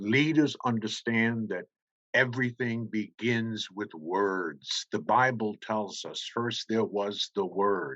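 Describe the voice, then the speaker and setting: A man talks very slowly, his medium pitch showing ordinary variation. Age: 70s. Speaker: speaker at a charity summit. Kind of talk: speech. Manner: formal.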